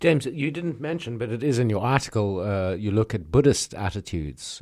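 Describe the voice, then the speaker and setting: On a very clean recording with a silent background, a man with a dark, mellow tone and fairly low pitch speaks at a fairly quick pace with lively intonation and hardly any pauses. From South Africa. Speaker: podcast co-host. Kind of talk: casual discussion.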